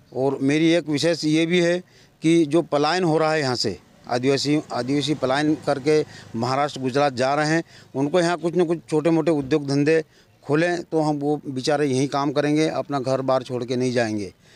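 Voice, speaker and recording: A man speaks at a moderate pace in a fairly high pitch. His loudness stays very even and his intonation fairly even. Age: 60s. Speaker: independent election candidate, retired employee. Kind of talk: interview. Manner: halting.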